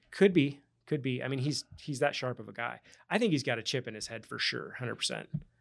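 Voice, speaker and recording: A man talks at a very fast pace at a medium pitch, with ordinary pitch variation, big swings in loudness and vocal fry. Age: 40s. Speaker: real estate agent and crypto investor. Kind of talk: casual interview chat.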